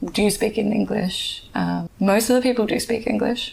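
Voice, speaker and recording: With an Australian accent, a woman talks at a moderate pace over noticeable background noise. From Australia, Perth. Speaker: podcast guest, migrant. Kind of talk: interview, casual chat.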